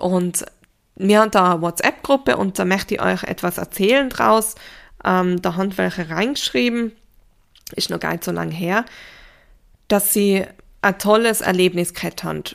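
Moderate pace with long, frequent pauses and ordinary pitch variation, on a very clean recording with a silent background. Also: woman, medium pitch for a woman. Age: 30s. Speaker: grief counsellor and podcast host. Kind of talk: solo podcast talk.

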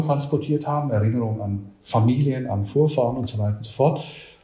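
Speaking at a fairly quick pace, a man with a medium pitch and ordinary pitch variation has a dark, mellow tone, sounds somewhat breathy, and has audible room echo around him. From Switzerland. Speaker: museum director. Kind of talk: interview.

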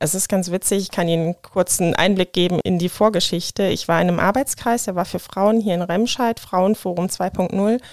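A woman with a plain, everyday voice at medium pitch, fairly even intonation, a fairly quick pace and hardly any pauses, in a dry, close sound with no echo. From Germany, Rhineland-Palatinate (Hahn). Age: 30s. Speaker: AIDS counselor and nurse. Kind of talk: interview.

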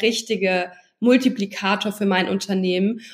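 A somewhat breathy voice speaks at a moderate pace. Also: woman. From Hesse, Germany (Darmstadt area, then Mannheim). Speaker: social media marketing entrepreneur. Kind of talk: interview.

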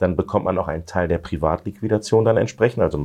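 A man with an ordinary speaking voice, fairly low in pitch, with ordinary pitch variation and a fairly quick pace. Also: quiet background. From Lower Saxony, Germany. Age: 40s. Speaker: politician. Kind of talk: interview.

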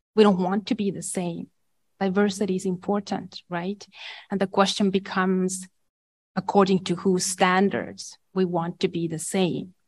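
Somewhat breathy and at medium pitch, a woman with an Estonian accent speaks at a moderate pace in monotone, flat intonation against a quiet background. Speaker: education professor. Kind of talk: panel discussion. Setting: conference room with audience.

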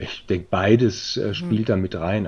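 Male speech in a dark, mellow tone, its pitch varying in an ordinary way. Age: 40s. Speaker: managing director of a recruitment firm. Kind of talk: interview. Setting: virtual studio.

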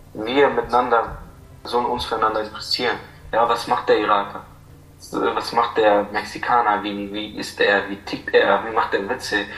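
Audible room echo and noticeable background noise surround a man speaking at a medium pitch in a monotone, flat delivery. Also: moderate pace. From Iraq. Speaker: refugee. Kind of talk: interview.

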